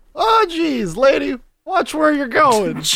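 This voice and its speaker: The pace is fairly slow. It is delivered in a put-on character voice. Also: man, extremely high pitch for a man. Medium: actual play. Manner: casual, good-natured.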